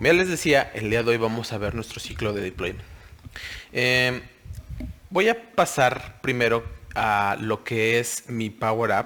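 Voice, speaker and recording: Over noticeable background noise, a man talks at a fairly slow pace with a medium pitch, ordinary pitch variation, and long, frequent pauses. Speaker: software trainer. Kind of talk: recorded webinar tutorial. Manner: hesitant, many fillers.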